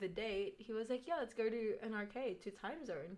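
Here a woman talks with an Australian accent. Her voice sits fairly high. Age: young. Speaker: nursing student podcast co-host. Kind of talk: casual chat. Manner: animated.

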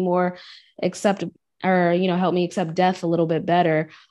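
A woman talks at a fairly quick pace. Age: 30s. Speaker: podcast host and sound healer. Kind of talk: casual chat.

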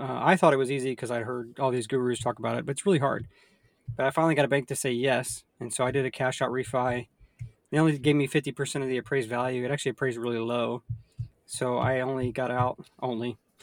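A man's medium-pitched voice with an American accent, very fast and fairly even in intonation, in a dry, close recording with no echo and a silent background. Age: 30s. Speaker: podcast host, real estate investor. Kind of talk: casual chat.

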